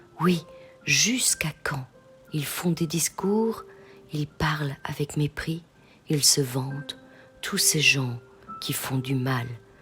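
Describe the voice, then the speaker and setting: Over music in the background, a woman with a very deep, low pitch and ordinary pitch variation speaks in a soothing, calm tone at a very slow pace with long, frequent pauses. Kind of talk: bedtime scripture reading.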